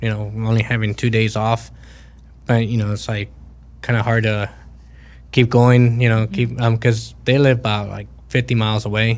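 The pace is moderate, with long, frequent pauses. Intonation stays monotone and flat. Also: man, medium pitch for a man. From Mexico, raised in Texas. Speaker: truck driver. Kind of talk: interview, casual chat. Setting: studio.

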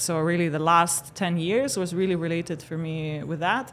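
A woman has an unremarkable speaking voice, fairly low in pitch with ordinary pitch variation. The recording is very clean, with a silent background. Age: 30s. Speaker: fintech CEO. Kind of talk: casual chat. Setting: conference studio.

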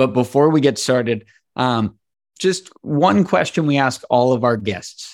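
A man speaks at a fairly slow pace in a normal speaking voice of medium pitch, in a very clean recording with a silent background. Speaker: podcast host. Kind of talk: casual podcast interview.

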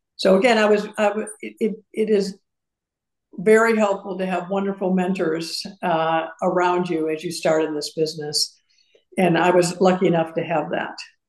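With an American accent, a woman uses an ordinary speaking voice at medium pitch, keeping fairly even intonation at a moderate pace. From US Midwest (Madison, Wisconsin and Urbana, Illinois). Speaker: university fundraising executive. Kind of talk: interview.

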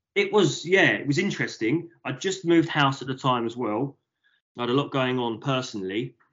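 Speaking at a fairly quick pace, a man with an unremarkable speaking voice uses lively intonation. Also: medium pitch for a man. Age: 30s. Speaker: print shop owner. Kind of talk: interview.

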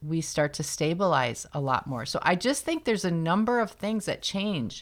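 An unremarkable speaking voice from a woman, lively in intonation, on a very clean recording with a silent background. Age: 50s. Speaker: podcast host. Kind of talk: casual chat.

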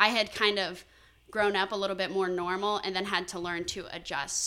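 A woman with an American accent talks at a fairly quick pace. Her tone is bright and sharp, and her intonation is monotone and flat. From Florida, Tampa area. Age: 19. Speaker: college student, former wish recipient with chronic illness. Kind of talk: interview.

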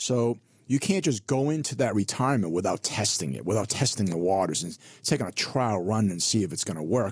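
This man has an unremarkable speaking voice, fairly low in pitch with lively intonation and a fairly quick pace. The recording is very clean, with a silent background. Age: 50s. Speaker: financial advisor. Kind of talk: casual chat. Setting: studio.

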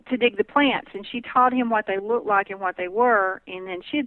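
Here a woman speaks with a Southern US accent. Her pitch sits fairly high. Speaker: herbalist. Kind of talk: interview.

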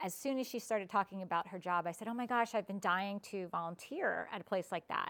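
A woman with an American accent speaks in a normal speaking voice, with a medium pitch and ordinary pitch variation. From southeastern Pennsylvania (Chester County). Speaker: volunteer and musician, former TV set parent. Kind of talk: casual interview.

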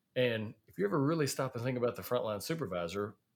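A man speaks with a Southern US accent at a very fast pace. His pitch variation is ordinary, and the recording is very clean, with a silent background. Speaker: podcast host, safety professional. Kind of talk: casual podcast conversation.

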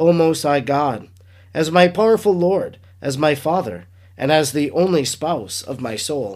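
Lively in intonation, a man speaks at a moderate pace in a normal speaking voice. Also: very clean recording, silent background. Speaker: priest podcaster reading and reflecting on a devotional book. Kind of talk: reading aloud of devotional text, prayerful. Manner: solemn, reverent, measured; earnest, devout, heartfelt.

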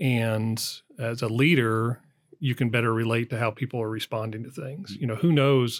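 Speaking in a normal speaking voice, a man with an American accent has a medium pitch and fairly even intonation. The recording is very clean, with a silent background. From US, southern Colorado. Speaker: business executive. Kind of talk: interview.

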